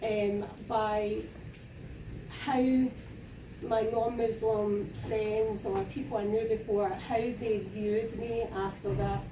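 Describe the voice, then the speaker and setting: A speaker with a Scottish accent talks at a very slow pace with long, frequent pauses, fairly even intonation and very even loudness. The recording has audible room echo and noticeable background noise. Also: woman, fairly high pitch for a woman. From Scotland. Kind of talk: panel discussion. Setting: university panel event with audience.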